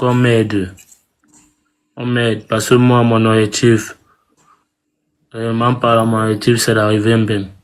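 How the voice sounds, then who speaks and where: A man with a Cameroonian accent at a medium pitch, monotone and flat, at a very slow pace. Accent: Cameroonian street French. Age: young. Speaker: migrant asking for help. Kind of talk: appeal for help on live stream. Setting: live video stream. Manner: halting.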